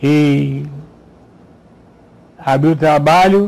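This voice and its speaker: A man is talking. The intonation stays fairly level throughout. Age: 80s+. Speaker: retired pastor. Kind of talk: testimony.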